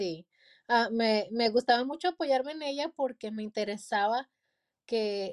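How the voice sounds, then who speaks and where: A woman with a normal speaking voice, ordinary pitch variation, and a dry, close sound with no echo. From Mexico, Durango. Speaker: pastor and author. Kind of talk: interview.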